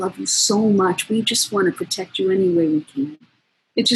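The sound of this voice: This is an unforced reading voice with ordinary pitch variation over a quiet background.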